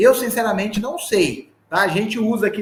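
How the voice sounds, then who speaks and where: This man's voice sits high in pitch. It rises and falls in an ordinary way. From Brazil, southern Minas Gerais. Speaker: sales trainer. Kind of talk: live online sales training. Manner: animated.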